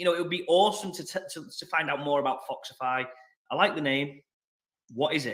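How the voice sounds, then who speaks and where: The speaker has a strong northern English accent and talks at a fairly quick pace. Pitch variation is ordinary. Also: man, fairly high pitch for a man. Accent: thick northern English. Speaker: interviewer. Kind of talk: interview.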